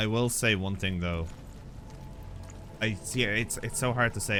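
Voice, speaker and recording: A quiet man, fairly low in pitch, at a fairly quick pace with ordinary pitch variation and music in the background. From Ireland. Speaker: gaming streamer. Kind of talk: let's play commentary, chatting with viewers. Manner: halting.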